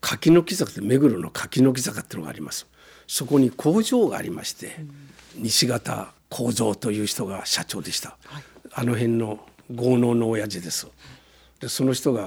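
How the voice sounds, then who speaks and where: A somewhat breathy man at a medium pitch and moderate pace, with lively intonation and big swings in loudness. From Gunma, Japan (Shibukawa, Akagi). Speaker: company founder. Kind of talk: interview. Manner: animated.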